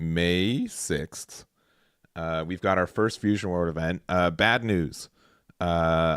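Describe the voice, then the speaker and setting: Dry and close with no echo on a very clean recording with a silent background, a man speaks at a very slow pace in a very deep, low pitch with fairly even intonation. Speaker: card game tournament commentator. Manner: monotone.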